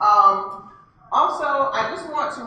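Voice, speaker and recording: A woman talks amid light background noise, her voice carrying audible room echo. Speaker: library event host. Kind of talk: event welcome and introductions. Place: hall.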